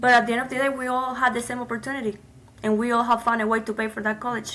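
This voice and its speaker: With noticeable background noise behind her, a woman in a Cuban accent speaks very fast at a high pitch, her intonation monotone and flat. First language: Spanish. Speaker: immigrant, nonprofit founder. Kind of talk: interview.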